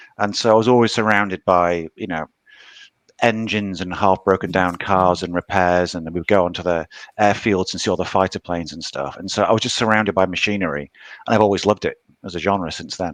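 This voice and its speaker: Talking at a very fast pace, a man with a British accent has a very deep, low pitch and fairly even intonation, recorded with a dry, close sound and no echo. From UK. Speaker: novelist. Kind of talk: interview.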